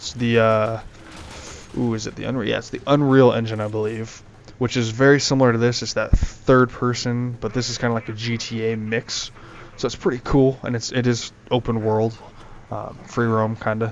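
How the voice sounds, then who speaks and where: A man talks at a moderate pace in a medium pitch, his intonation flat and monotone. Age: young. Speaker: gaming youtuber. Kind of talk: gameplay commentary. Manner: halting, many fillers; casual.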